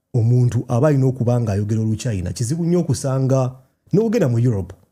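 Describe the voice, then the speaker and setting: In a Ugandan accent, a man speaks at a very fast pace with lively intonation and a medium pitch. His tone is dark and mellow, and somewhat breathy. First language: Luganda. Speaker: video creator. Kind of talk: casual chat.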